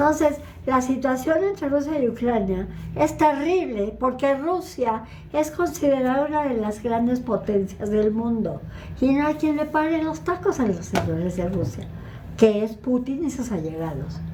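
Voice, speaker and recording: A high-pitched woman speaks at a fairly slow pace with very wide pitch swings. Noticeable background noise and audible room echo fill the recording. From northern Mexico, Ciudad Juárez. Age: 80s+. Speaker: lecturer on Middle East politics. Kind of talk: Q&A talk.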